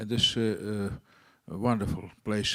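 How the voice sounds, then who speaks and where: Moderate pace and a medium pitch from a man, in a very clean recording against a silent background. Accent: Russian. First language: Russian. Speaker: diplomat. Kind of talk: panel discussion. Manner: halting, hesitant English.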